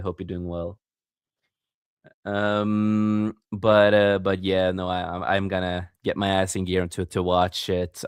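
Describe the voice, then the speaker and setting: With a non-native accent, a man speaks at a fairly slow pace in a very deep, low pitch and a monotone, flat intonation. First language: not English. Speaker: podcast host and author. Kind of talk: casual chat.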